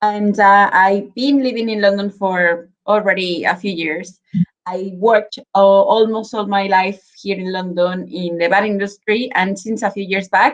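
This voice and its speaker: A woman speaks at a moderate pace in a Mexican accent. Her pitch is medium and her intonation fairly even. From Mexico, Guadalajara, Jalisco. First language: Spanish. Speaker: spirits brand representative. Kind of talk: virtual tasting presentation. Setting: live video stream.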